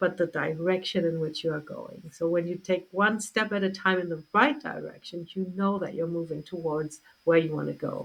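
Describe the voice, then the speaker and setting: Hardly pausing, a woman talks at a moderate pace in an ordinary speaking voice. Her pitch is fairly low, with ordinary variation. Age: 60s. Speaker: health coach. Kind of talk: interview.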